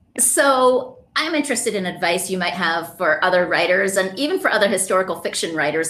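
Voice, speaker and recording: There is noticeable background noise behind this woman's voice. She talks at a fairly quick pace in a medium pitch. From UK. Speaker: podcast host and author. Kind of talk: interview conversation.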